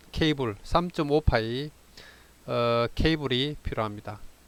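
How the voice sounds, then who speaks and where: In a dry, close recording with no echo, a man with a Gyeongsang accent speaks at a very slow pace. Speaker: amateur radio operator. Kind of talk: tutorial. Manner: halting, many fillers.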